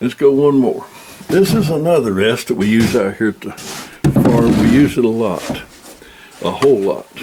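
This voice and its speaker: Background noise is noticeable as a man talks at a moderate pace. His intonation is lively. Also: medium pitch for a man. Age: 80s+. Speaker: outdoorsman demonstrating shooting rests. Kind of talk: tutorial. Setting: at the farm.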